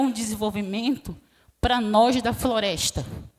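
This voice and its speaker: A soft-spoken woman talks at a very slow pace, her fairly high pitch showing ordinary variation. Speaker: quilombola community leader, witness. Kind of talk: testimony.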